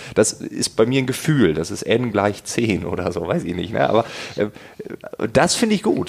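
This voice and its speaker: Over noticeable background noise, a man speaks fairly quickly at a medium pitch with very wide pitch swings. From East Frisia, northern Germany. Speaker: podcast host. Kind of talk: interview.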